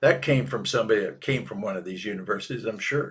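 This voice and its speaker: A man with an American accent speaks at a fairly quick pace in a normal speaking voice with a medium pitch. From Minnesota. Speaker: political cartoonist. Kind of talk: casual chat. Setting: live podcast.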